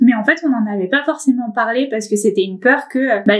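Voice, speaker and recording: Here a woman talks at a fairly quick pace. Her pitch is fairly high, with ordinary variation. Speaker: lifestyle vlogger. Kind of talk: casual chat. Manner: fast.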